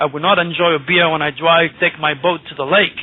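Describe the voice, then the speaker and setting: A man speaks at a moderate pace with monotone, flat intonation. There is noticeable background noise. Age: 60s. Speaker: astrologer. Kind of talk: radio interview. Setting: radio show.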